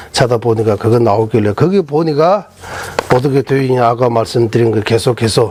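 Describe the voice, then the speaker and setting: A man's medium-pitched voice in a Tibetan accent, over noticeable background noise. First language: Tibetan (speaking Korean). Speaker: Buddhist monk teacher. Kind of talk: lecture. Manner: halting, many fillers.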